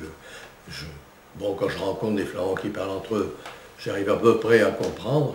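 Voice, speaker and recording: Against noticeable background noise, a man with a fairly low pitch speaks at a moderate pace, with big swings in loudness, ordinary pitch variation, and long, frequent pauses. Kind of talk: interview answer.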